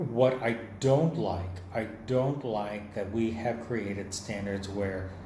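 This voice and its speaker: Amid noticeable background noise and audible room echo, a man with an American accent speaks at a very slow pace. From Texas, near San Antonio. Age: 60s. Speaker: artist. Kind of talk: lecture. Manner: conversational.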